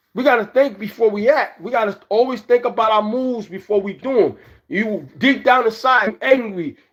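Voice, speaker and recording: A man talks at a moderate pace in an extremely high voice with ordinary pitch variation. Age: 60s. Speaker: livestreamer. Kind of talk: casual livestream monologue. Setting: live stream.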